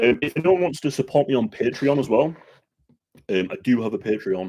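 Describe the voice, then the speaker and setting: Using very wide pitch swings, a man talks fairly quickly at a medium pitch in a dark, mellow tone. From Yorkshire, England. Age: 20s. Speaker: YouTuber. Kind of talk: casual live stream Q&A. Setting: live stream. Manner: casual, hesitant with many ums.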